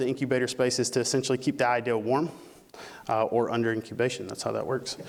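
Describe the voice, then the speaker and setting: A man's very fast speech with a Southern US accent, medium pitch, and fairly even intonation. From Alabama. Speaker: conference speaker. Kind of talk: conference talk. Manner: casual, with frequent fillers.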